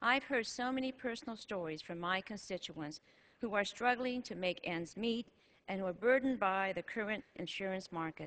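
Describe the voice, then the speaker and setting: A normal speaking voice belongs to this woman, who has an American accent, a medium pitch, ordinary pitch variation and a moderate pace. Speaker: member of the House of Representatives. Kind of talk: formal legislative floor speech.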